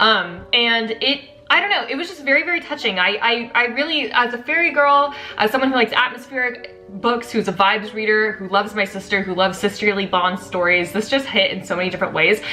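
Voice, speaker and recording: With music in the background, a woman with a fairly high pitch talks at a fairly quick pace with lively intonation and hardly any pauses. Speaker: book reviewer. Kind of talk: casual chat. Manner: fast.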